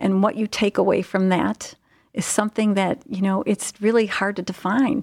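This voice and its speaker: A woman with a normal speaking voice talks at a moderate pace and medium pitch, with an American accent, fairly even intonation and very even loudness. The sound is dry and close with no echo, on a very clean recording with a silent background. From US Midwest, Ohio (Cleveland area). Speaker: nurse executive. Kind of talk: interview.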